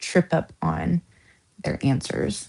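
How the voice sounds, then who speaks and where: The background is quiet. A woman talks with an American accent. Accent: Southern US accent, shows at times. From US South. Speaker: true crime streamer. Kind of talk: live stream chat. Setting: live stream at home. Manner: casual, rambling with self-corrections.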